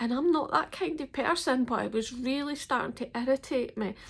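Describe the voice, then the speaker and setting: With a Scottish accent, a woman speaks at a moderate pace in a high, lively voice. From Scotland. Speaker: ex-member telling her story. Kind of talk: personal testimony to camera.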